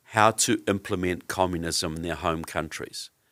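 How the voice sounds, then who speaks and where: A man with a New Zealand accent speaks at a very deep, low pitch and a fairly slow pace. The recording is very clean and silent behind him, with a dry, close sound and no echo. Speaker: author and researcher on communism. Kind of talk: interview.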